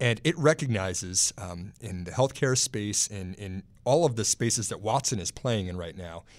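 A man with an American accent and a normal speaking voice talks at a moderate pace and a fairly low pitch, with lively intonation and big swings in loudness, in a very clean recording with a silent background. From Texas. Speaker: stock market analyst. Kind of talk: casual chat. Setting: studio.

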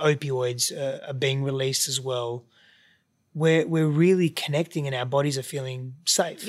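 A man with an Australian accent speaks fairly slowly at a fairly high pitch with fairly even intonation. The recording is very clean, with a silent background. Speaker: podcast guest, relationship coach.

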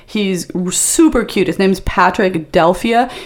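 With an American accent, a woman speaks with ordinary pitch variation amid noticeable background noise. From US East Coast. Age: 50s. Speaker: adult film performer and comedian. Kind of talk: casual chat. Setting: studio.

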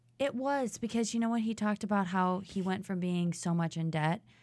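Here a woman has a normal speaking voice, fairly low in pitch with ordinary variation. The recording is very clean, with a silent background. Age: 30s. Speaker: former reality show contestant. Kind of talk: casual chat.

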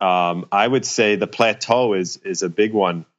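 Speaking at a moderate pace, a man has a fairly low pitch and an unremarkable speaking voice. His pitch varies in an ordinary way. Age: 30s. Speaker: personal trainer. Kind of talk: casual interview.

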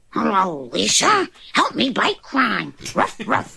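Here a woman puts on a character voice. She delivers it at a fairly slow pace. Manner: barking.

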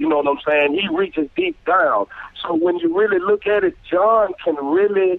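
A man's high voice at a moderate pace, with ordinary pitch variation, very even loudness and noticeable background noise. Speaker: singer. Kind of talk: casual chat.

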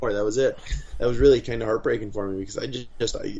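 Very fast and somewhat breathy, a man at medium pitch speaks with an American accent and monotone, flat intonation. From Wisconsin. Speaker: professional MMA fighter. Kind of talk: casual interview. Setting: video call.

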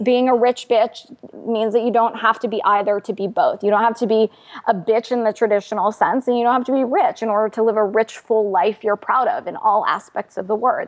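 This is a woman with a plain, everyday voice, pitched fairly high with ordinary pitch variation. She talks at a fairly quick pace. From United States, first-generation immigrant family. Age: 30s. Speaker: financial journalist and author. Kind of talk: interview.

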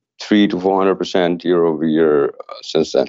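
The man's voice is very deep and low in pitch. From Canada. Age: 40s. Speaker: tech startup founder. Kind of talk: interview. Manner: halting, many fillers.

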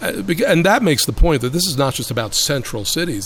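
Noticeable background noise sits behind a man with an American accent who speaks at a fairly quick pace with lively intonation. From Brooklyn, New York. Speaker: urban policy expert. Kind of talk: interview.

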